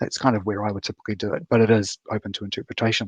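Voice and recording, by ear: Talking at a very fast pace, a man with a fairly low pitch and a slightly husky edge keeps little pitch movement. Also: dry, close sound with no echo.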